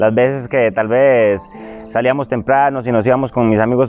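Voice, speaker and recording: Pitched in the medium range, this man's speech comes at a moderate pace. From Costa Rica, rural areas. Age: 20s. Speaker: young man giving life testimony. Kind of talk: testimony. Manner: halting, many fillers and repeats.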